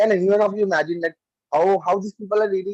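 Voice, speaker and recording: In an Indian accent, a high-pitched man talks very fast, the sound dry and close with no echo. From India, Delhi. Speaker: club member giving a speech. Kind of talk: speech. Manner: halting; soft-spoken.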